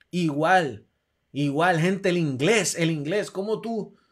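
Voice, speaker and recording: A man speaks with a high pitch against a quiet background. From Puerto Rico. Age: 40s. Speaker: athletic recruiting advisor and show host; show host. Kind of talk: live stream talk show. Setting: home room, live stream. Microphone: webcam.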